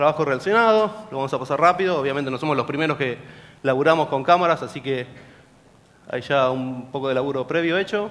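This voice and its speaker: A man with a fairly high pitch speaks at a very fast pace with ordinary pitch variation. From Argentina, General Pico, La Pampa; La Pampa, Argentina. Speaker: security researcher; presenter. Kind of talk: conference talk. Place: hall.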